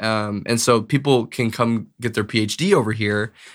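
A man with an Upper Midwest accent speaks at a medium pitch with fairly even intonation. The recording is very clean, with a silent background. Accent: Upper Midwest American. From Bismarck, North Dakota. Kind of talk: casual chat.

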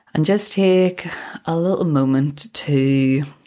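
The woman's tone is dark, mellow and calm. She talks very slowly with ordinary pitch variation. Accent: British. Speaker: podcast host and balance coach. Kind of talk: guided meditation. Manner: slow, calm.

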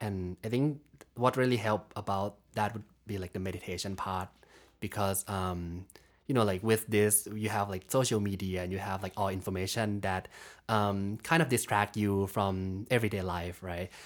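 In a Thai accent, a man with a fairly low pitch and fairly even intonation talks at a moderate pace on a very clean recording with a silent background. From Thailand. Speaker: graduate student. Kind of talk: casual chat.

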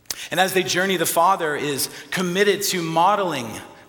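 A man with an American accent speaks at a moderate pace amid audible room echo and noticeable background noise. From Texas panhandle. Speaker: priest. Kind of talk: sermon.

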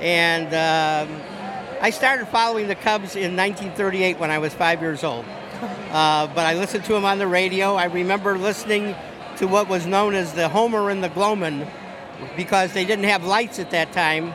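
Over noticeable background noise, a man speaks in a high pitch with an American accent. His pace is moderate and his intonation fairly even. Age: 70s. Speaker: baseball fan. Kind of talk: interview. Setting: outdoors. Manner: halting.

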